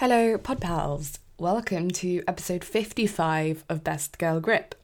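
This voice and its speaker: This woman speaks with a British accent at a fairly low pitch, using ordinary pitch variation. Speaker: podcast host. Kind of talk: podcast intro.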